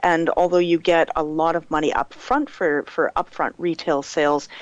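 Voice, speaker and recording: The woman's fairly low voice moves at a moderate pace, with a dry, close sound and no echo. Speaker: game company community representative. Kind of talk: podcast interview. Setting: online voice call. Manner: loud.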